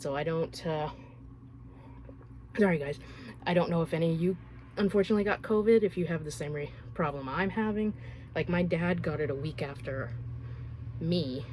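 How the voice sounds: A woman with a low voice and a slightly mellow tone talks at a moderate pace, with long, frequent pauses. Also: ordinary pitch variation.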